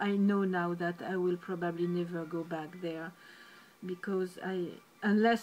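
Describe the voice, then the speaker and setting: The speaker has a French accent and a fairly slow pace. The intonation is monotone and flat. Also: woman. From France. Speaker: painter and video blogger. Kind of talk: personal monologue vlog. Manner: halting, with many fillers.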